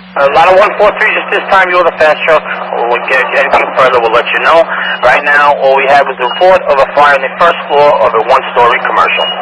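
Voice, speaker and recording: A man at a fairly quick pace, with ordinary pitch variation and noticeable background noise. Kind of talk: radio dispatch communication. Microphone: two way radio.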